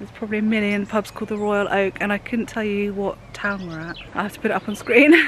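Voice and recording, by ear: Talking at a fast pace, a woman uses a medium pitch and fairly even intonation over faint background noise.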